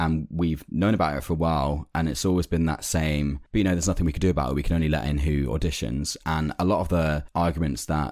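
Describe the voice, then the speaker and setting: A man talks at a very fast pace with a London accent. His pitch is very deep and low, with ordinary pitch variation. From London, England.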